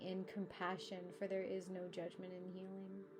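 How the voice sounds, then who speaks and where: Speaking slowly at a medium pitch, the woman has a calm, soothing tone. Noticeable background noise can be heard, and her pace stays fairly slow. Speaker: embodiment life coach and somatic healer, meditation guide. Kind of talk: guided meditation. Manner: slow, calm, soothing.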